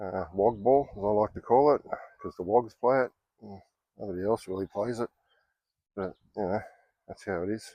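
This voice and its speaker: A man with an Australian accent and a fairly low pitch, moderate pace, ordinary pitch variation, long, frequent pauses, and big swings in loudness, in a dry, close sound with no echo. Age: 60s. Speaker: golf vlogger. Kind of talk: casual monologue. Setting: outdoors. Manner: hesitant with fillers.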